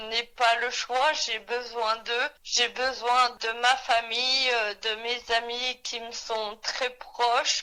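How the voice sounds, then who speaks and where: A woman with a high pitch and a bright, sharp tone speaks at a very slow pace. Her intonation is monotone and flat, with hardly any pauses. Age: 30s. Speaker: person with chronic illness. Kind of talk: testimony. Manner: halting.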